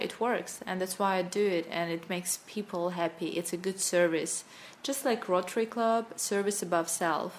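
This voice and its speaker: Speaking in a Russian accent, a woman barely pauses, her pitch varying in an ordinary way. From Russia, Sakhalin Island (Russian Far East). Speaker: NLP coach and corporate trainer. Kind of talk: interview.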